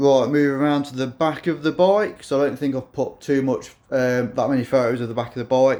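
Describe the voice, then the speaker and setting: At a fairly quick pace and with hardly any pauses, this dark, mellow voice keeps a fairly even intonation. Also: man, medium pitch for a man. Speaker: motorcycle builder. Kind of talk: tutorial. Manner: monotone; halting.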